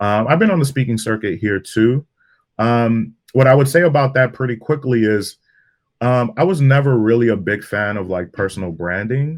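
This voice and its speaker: The speaker talks at a moderate pace with lively intonation. The background is quiet. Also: man, medium pitch for a man. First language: Spanish. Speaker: digital media strategist. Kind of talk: interview on video call. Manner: casual, relaxed with fillers.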